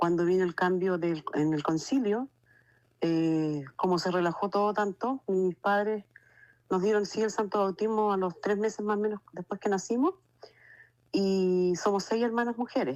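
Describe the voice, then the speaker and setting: A woman talks at a fairly slow pace in a plain, everyday voice, her medium pitch moving with ordinary variation and her loudness very even. The sound is dry and close with no echo, over a quiet background. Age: 60s. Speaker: testimony giver. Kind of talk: testimony. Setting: phone call.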